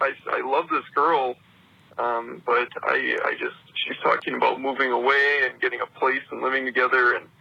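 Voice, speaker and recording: There is noticeable background noise behind the voice. A man speaks at a moderate pace. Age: 20s. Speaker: caller. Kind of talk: voicemail message. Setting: phone voicemail.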